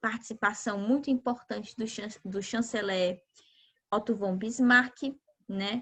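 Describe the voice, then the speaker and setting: Pitched fairly high, a woman speaks in a plain, everyday voice at a fairly slow pace with fairly even intonation. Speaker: geography teacher. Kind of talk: lecture.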